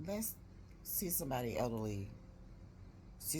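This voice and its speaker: A woman with lively intonation is heard amid noticeable background noise and audible room echo. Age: 60s. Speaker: vlogger. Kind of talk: casual vlog update. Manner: rambling, conversational.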